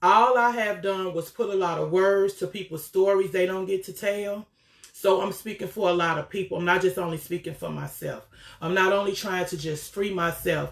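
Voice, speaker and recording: With an American accent, a woman speaks at a moderate pace and medium pitch, her intonation fairly even. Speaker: author. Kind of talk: live video talk. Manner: loud; candid, abrupt-sounding.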